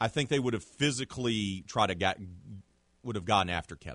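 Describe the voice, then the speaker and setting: This man speaks at a medium pitch. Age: 40s. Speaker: sports podcast host. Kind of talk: casual sports talk.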